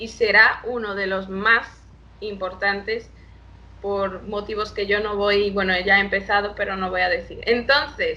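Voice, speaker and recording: This woman talks fairly slowly at a medium pitch, her intonation monotone and flat. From Brazil, Salvador de Bahia. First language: Portuguese (speaking Spanish). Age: 20s. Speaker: international relations professional. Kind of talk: interview. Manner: halting.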